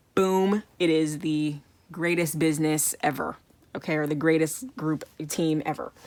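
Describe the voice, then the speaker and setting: The voice belongs to a woman, fairly low in pitch. She speaks at a fairly slow pace. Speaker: tarot card reader. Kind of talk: pick a card tarot reading. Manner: casual, filler-heavy.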